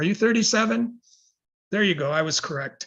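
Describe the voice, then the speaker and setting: With lively intonation, a man speaks in a bright, sharp tone. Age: 70s. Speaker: educator and sleep researcher. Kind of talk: lecture.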